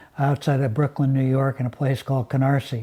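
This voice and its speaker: A man's fairly high-pitched voice with an American accent, at a fairly quick pace. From Seattle, US Pacific Northwest. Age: 70s. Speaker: former business executive. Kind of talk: interview. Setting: live stream interview.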